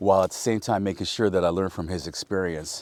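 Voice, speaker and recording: The voice has a dark, mellow tone and a Spanish accent. The sound is dry and close with no echo, on a very clean recording with a silent background. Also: man. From Napa Valley, California. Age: 50s. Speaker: vineyard owner. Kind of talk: casual storytelling interview. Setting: outdoors in a vineyard.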